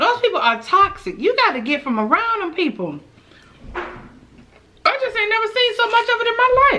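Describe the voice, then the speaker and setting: A raised, projected voice comes through at a moderate pace over light background noise. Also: woman. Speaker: eating vlogger. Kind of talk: casual vlog chat. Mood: venting, opinionated. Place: home room.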